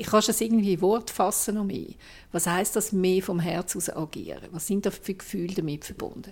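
An unremarkable speaking voice runs at a fairly quick pace with fairly even intonation on a very clean recording with a silent background. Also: woman, medium pitch for a woman. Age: 60s. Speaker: journalist and podcast host. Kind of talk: casual chat.

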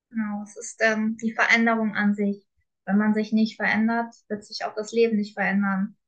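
A woman's fairly high, somewhat breathy voice at a moderate pace, with monotone, flat intonation and big swings in loudness. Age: 20s. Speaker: coach. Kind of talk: personal testimony. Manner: calm.

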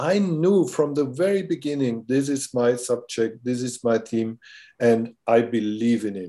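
Spoken at a fairly slow pace with a German accent, this dark, mellow voice sits on a very clean recording with a silent background. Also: man. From Germany. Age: 60s. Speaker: filmmaker. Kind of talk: casual interview. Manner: halting.

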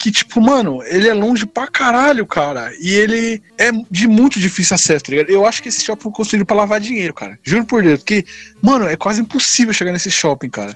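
With music in the background and a dry, close sound with no echo, a man speaks fairly quickly in a high pitch with lively intonation. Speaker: podcast host. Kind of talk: casual chat.

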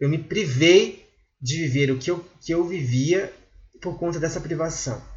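Amid audible room echo, a man with a fairly high pitch speaks at a fairly slow pace with ordinary pitch variation. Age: 20s. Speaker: podcast host. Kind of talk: solo monologue commentary. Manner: halting with many filler hesitations.

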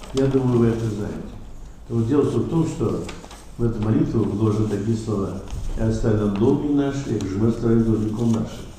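Over noticeable background noise and audible room echo, a man with a medium pitch talks at a fairly quick pace with fairly even intonation, broken by long, frequent pauses. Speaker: Orthodox priest. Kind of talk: panel discussion.

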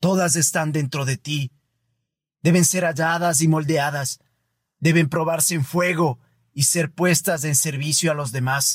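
Long, frequent pauses break up a man's fairly slow speech, pitched fairly high with fairly even intonation. The recording is very clean, dry and close, with a silent background and no echo. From Ecuador. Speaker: podcast host. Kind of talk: scripted reflective monologue. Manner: formal.

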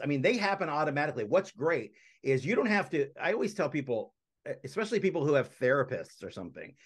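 A man at a fairly quick pace, with very wide pitch swings, against a quiet background. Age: 40s. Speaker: motivational speaker. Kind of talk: interview.

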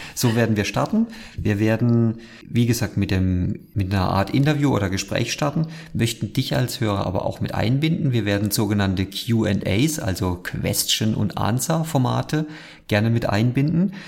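With a plain, everyday voice, a man speaks at a moderate pace and medium pitch, his intonation lively and his loudness very even. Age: 30s. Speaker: podcast host. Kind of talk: casual chat.

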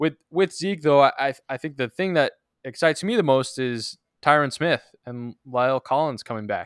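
A man with a plain, everyday voice, fairly high in pitch, with ordinary pitch variation and a moderate pace. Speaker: fantasy football podcast host. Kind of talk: casual chat.

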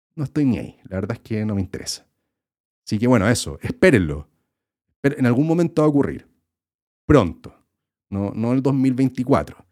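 With a dark, mellow tone at a medium pitch, a man speaks with lively intonation and long, frequent pauses, the sound dry and close with no echo. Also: moderate pace. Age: 30s. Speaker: YouTuber and podcast host. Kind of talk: casual solo podcast monologue. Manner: casual, filler-heavy with repetitions.

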